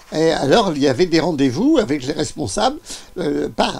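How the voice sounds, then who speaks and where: A man talks at a fairly slow pace. Noticeable background noise is audible behind him. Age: 80s+. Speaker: former Trotskyist activist. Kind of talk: interview answer.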